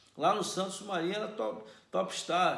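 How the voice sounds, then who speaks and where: With audible room echo and noticeable background noise, a man's voice shows ordinary pitch variation. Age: 60s. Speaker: football coach. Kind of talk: solo commentary. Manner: animated.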